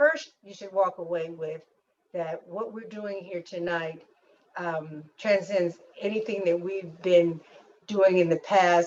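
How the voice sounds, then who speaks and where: Speaking at a very slow pace, a woman shows big swings in loudness. Her pitch is medium. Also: fairly even intonation. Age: 60s. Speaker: leadership workshop presenter. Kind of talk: closing remarks in a leadership webinar. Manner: halting, with repeated words. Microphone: unstable internet connection.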